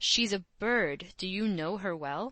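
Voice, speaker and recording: In a put-on character voice, a female-sounding speaker growls at a middle pitch and a fairly slow pace. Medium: read story. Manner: slangy, breezy, nervy.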